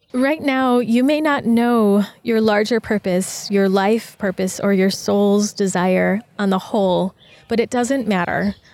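A normal speaking voice at a fairly slow pace, with ordinary pitch variation, very even loudness, and a very clean recording with a silent background. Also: woman, medium pitch for a woman. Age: 30s. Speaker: podcast host, self-love coach. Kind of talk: reflective monologue. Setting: outdoors in a park with birds, construction and traffic noise. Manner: gentle, calm.

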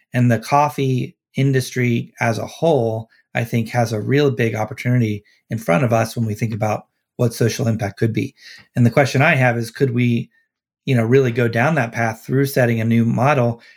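A man in a Midwestern American accent speaks at a moderate pace in a medium pitch with fairly even intonation, recorded very cleanly against a silent background. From US Midwest, Cincinnati, Ohio. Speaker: social entrepreneur and author. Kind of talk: interview.

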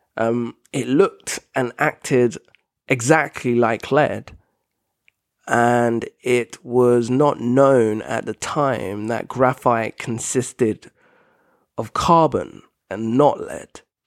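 A man speaks at a very slow pace with fairly even intonation. The sound is dry and close with no echo, on a very clean recording with a silent background. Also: medium pitch for a man. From Britain. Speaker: podcast host. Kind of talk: solo educational monologue. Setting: home living room.

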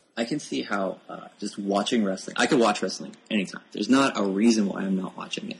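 With an American accent, a man talks at a fairly quick pace with hardly any pauses, his fairly low pitch varying in an ordinary way over noticeable background noise. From rural Pennsylvania, US. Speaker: author and software developer. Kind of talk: casual interview chat.

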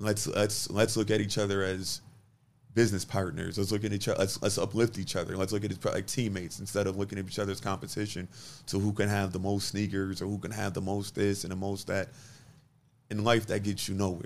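A man with an American accent speaks fairly quickly in a fairly low, monotone, flat voice. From Buffalo, New York (West Side). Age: 30s. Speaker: restaurant owner. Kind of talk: interview.

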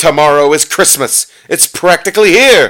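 A man does a put-on character voice, growling at a moderate pace with a high pitch. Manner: snarling, sneering, growling.

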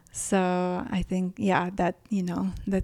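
In a dry, close sound with no echo and a silent background on a very clean recording, a woman with a Ukrainian accent speaks in a flat monotone at medium pitch. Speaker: fashion stylist and editor. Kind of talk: casual interview conversation. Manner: hesitant, self-correcting, many fillers.

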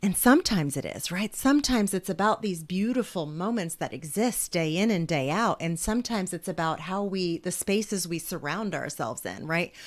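A woman with a normal speaking voice and a medium pitch talks at a fairly quick pace with lively intonation and hardly any pauses, on a very clean recording with a silent background. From New Jersey, US. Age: 40s. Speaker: author and speaker. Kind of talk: casual interview conversation.

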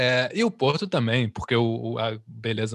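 A man talks with a Brazilian accent at medium pitch. His pace is moderate over a quiet background. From Brazil, Rio de Janeiro. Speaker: musician. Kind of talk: interview.

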